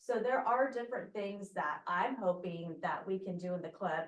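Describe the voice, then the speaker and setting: A soft-spoken woman talks at medium pitch. Her pitch variation is ordinary. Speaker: fire district emergency preparedness coordinator. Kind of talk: club meeting remarks.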